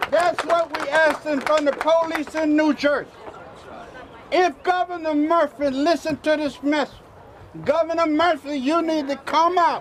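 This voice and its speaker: Over noticeable background noise, a man speaks at a fairly slow pace. His pitch is extremely high and his intonation monotone and flat. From US South (Mississippi). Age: 70s. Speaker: preacher. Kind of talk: protest speech.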